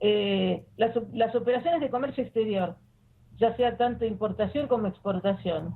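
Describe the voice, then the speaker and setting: The voice moves at a moderate pace with ordinary pitch variation and very even loudness. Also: woman, fairly high pitch for a woman. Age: 60s. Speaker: former financial intelligence official, money laundering expert. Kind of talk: interview. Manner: hesitant, with fillers.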